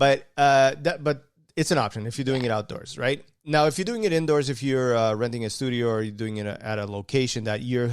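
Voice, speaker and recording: On a very clean recording with a silent background, a man of medium pitch speaks at a fairly quick pace with ordinary pitch variation and an unremarkable speaking voice. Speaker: podcast co-host. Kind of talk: casual chat.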